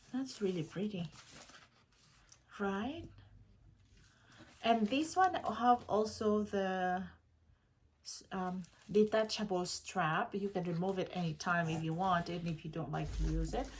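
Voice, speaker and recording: Speaking at a fairly slow pace with long, frequent pauses, a woman uses a medium pitch, ordinary pitch variation and a somewhat breathy sound. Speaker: unboxing and review vlogger. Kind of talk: product unboxing vlog. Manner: animated, frequent exclamations; stumbling, self-correcting when excited.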